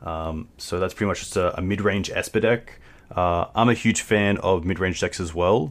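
Against a quiet background, a man with an Australian accent speaks at a very deep, low pitch. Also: fairly even intonation, moderate pace. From Australia, Queensland. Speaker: game streamer. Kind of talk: casual chat. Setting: video call.

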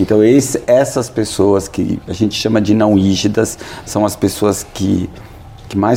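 With noticeable background noise behind him, a man talks at a fairly low pitch and fairly even intonation. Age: 50s. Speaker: dentist. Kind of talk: interview. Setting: auditorium at the guest's organization. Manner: halting, repeats words.

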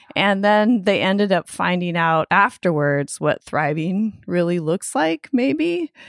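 Heard as a dry, close sound with no echo, a woman with an ordinary speaking voice talks at a fairly slow pace and fairly low pitch, with ordinary pitch variation and very even loudness. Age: 50s. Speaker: podcast co-host. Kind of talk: casual chat.

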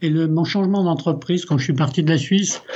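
A man's fairly high, dark and mellow voice at a moderate pace, with ordinary pitch variation and a quiet background. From France, raised from age 6 by Italian family. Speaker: company CEO. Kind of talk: interview.

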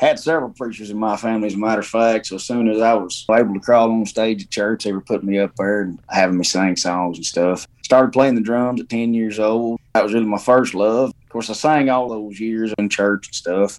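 With a relaxed tone, a man talks at a fairly quick pace in a medium pitch and fairly even intonation. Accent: strong Arkansas. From Arkansas. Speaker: country singer-songwriter. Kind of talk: casual interview chat. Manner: relaxed, folksy.

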